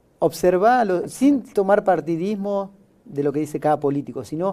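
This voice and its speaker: A man speaks with lively intonation. His tone is dark and mellow. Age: 50s. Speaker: podcast host. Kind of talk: interview show hosting. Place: studio. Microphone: lapel.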